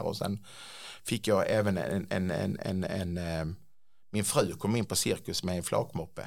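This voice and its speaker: The recording is very clean with a silent background, carrying a man's fairly low voice and fairly even intonation. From Skåne, Sweden (Klippan). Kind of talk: interview. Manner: halting, repetitive.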